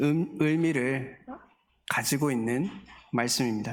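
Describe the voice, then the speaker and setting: A man at a fairly slow pace, with music in the background and audible room echo. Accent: slight Daegu. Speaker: guest pastor. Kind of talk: sermon. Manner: halting, many filler sounds.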